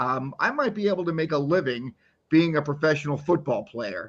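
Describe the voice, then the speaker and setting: Talking at a moderate pace, this man has an unremarkable speaking voice. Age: 50s. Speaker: podcast co-host. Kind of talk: interview. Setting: live-streamed podcast.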